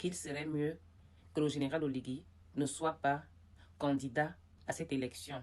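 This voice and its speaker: With long, frequent pauses, a woman talks in a very deep, low pitch and a monotone, flat intonation. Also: moderate pace. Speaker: political commentator. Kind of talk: political commentary vlog. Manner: hesitant, many fillers.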